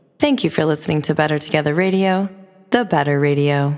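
A woman speaks with a very deep, low pitch and ordinary pitch variation. Music plays in the background. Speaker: radio host and DJ. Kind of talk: radio DJ patter: upbeat promo-style show intro and plugs. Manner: bubbly, enthusiastic, rattling off dates and handles; warm, chatty, inviting the audience.

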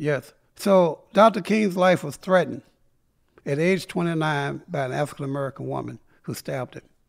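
Recorded very cleanly against a silent background, a man with a slight North Carolina accent speaks at a moderate pace, his pitch fairly high with ordinary variation. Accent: Southern US, slight North Carolina. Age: 70s. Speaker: civil rights activist. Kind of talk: casual interview storytelling. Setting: studio.

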